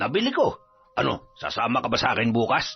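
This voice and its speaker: A man's put-on character voice at a medium pitch, delivered at a fairly quick pace. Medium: read story. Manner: casual, confident.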